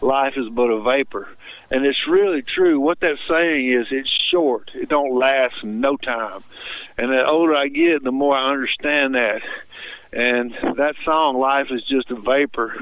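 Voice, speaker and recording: A man with a Mississippi accent and a fairly high pitch speaks at a fairly slow pace, with ordinary pitch variation and long, frequent pauses. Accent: US Southern (Mississippi). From Mississippi, Tupelo. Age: 60s. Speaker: singer-songwriter. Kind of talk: radio interview.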